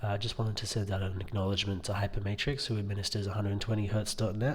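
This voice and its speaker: A man with a fairly low pitch speaks in a somewhat breathy voice. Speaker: tech reviewer. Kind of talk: product review video. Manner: monotone; quiet, hesitant with many fillers.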